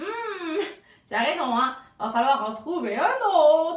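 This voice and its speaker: A woman does a put-on character voice, high in pitch with very wide pitch swings. She speaks at a fairly slow pace with slight echo. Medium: read story.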